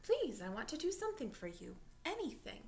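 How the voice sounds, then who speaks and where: A put-on character voice moves along at a fairly quick pace. Background noise is clearly audible. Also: woman, high pitch for a woman. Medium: read story.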